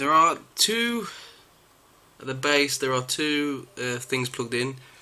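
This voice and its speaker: A mumbling man at a moderate pace, bright and sharp in tone. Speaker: amateur electronics repairer. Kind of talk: DIY repair tutorial. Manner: mumbling, hesitant.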